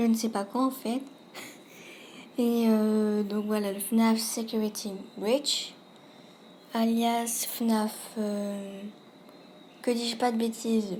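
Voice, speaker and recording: A woman speaks very slowly in a somewhat breathy, fairly high voice with a dark, mellow tone. Her intonation is monotone and flat. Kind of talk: casual video game commentary. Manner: hesitant, some stammering.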